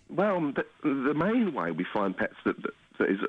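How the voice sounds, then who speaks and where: There is vocal fry in this man's voice. He talks at a moderate pace. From West Midlands (Dudley) and London. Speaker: pet detective, former police officer. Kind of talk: radio interview. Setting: phone call.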